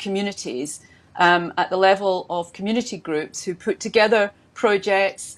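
A woman speaks in a Scottish accent at a medium pitch. Her pace is fairly slow. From Scotland. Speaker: government minister. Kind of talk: panel discussion. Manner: hesitant with many fillers. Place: home room. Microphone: earbuds.

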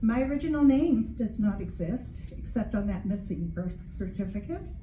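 With audible room echo and light background noise, a woman speaks at a moderate pace with ordinary pitch variation. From US military bases, moved often. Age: 60s. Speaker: retiree, writing group member; reader at open mic. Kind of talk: reading aloud personal essay. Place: hall.

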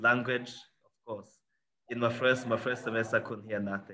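Fairly even intonation and a bright, sharp tone come through over light background noise. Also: man. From Rwanda. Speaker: HBCU alumnus; panelist. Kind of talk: panel discussion. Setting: video call. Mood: cheerful, smiling. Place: office. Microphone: video call.

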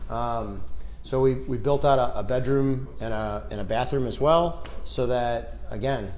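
Light background noise sits behind a man speaking at a fairly slow pace. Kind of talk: casual tour talk. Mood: relaxed, proud. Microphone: lapel.

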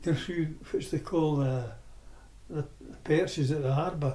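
This voice has a dark, mellow tone and speaks in a Scottish accent. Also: man. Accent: Scottish (Ayrshire). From Scotland, Irvine, Ayrshire. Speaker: oral history interviewee. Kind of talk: reminiscence. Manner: halting.

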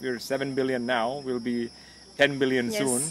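A man talks at a fairly quick pace. The sound is dry with no echo, over light background noise. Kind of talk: interview answer. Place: garden. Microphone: studio mic.

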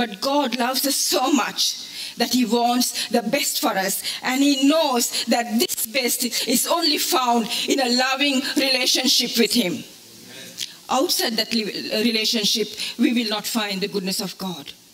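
Over light background noise, a woman talks in a high voice. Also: ordinary pitch variation, fairly slow pace. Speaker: preacher. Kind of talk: sermon. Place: hall.

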